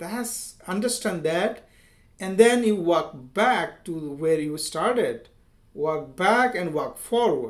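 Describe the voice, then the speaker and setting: With an Indian accent, a man speaks very slowly at a high pitch. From India, village. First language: Hindi. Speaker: software engineer and language teacher. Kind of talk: tutorial. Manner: halting, with fillers and repetitions.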